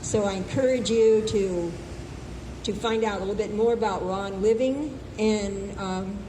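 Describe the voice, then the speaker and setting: Amid noticeable background noise and audible room echo, a woman talks at a fairly slow pace, medium in pitch with fairly even intonation. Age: 80s+. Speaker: health speaker. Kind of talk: open mic talk.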